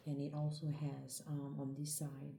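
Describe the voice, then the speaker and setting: Speaking fairly slowly, this voice is soft-spoken. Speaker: ASMR creator. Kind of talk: ASMR product review.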